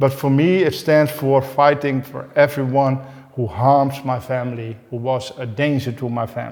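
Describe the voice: A man speaks at a medium pitch and a moderate pace. His tone is slightly mellow, with little pitch movement.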